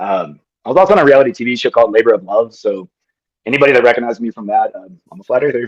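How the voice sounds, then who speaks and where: A man with an American accent, talking at a very fast pace, with big swings in loudness. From US, Denver, Colorado. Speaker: former tennis pro, flat earther. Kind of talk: self-introduction on video call.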